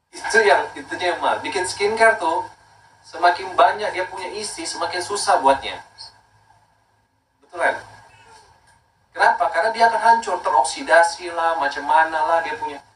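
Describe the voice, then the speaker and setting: At a moderate pace, a man with high pitch and lively intonation speaks with big swings in loudness and long, frequent pauses. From Makassar, South Sulawesi, Indonesia. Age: 30s. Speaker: skincare brand owner. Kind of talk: casual talk promoting skincare.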